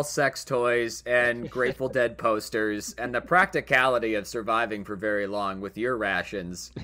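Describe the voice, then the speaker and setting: The man's voice has a bright, sharp tone. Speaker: podcast host. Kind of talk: casual comedic banter. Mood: jokey, laughing. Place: studio. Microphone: studio mic.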